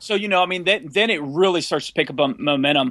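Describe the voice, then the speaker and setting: Very fast and animated, a man speaks in a fairly high voice with a bright, sharp tone and ordinary pitch variation on a very clean recording with a silent background. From US Mid-Atlantic, near Washington DC. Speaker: independent filmmaker. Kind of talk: casual interview.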